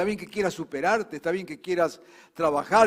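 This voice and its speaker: A man's high-pitched voice in a Rioplatense accent, at a fairly quick pace. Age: 70s. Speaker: pastor. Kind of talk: sermon.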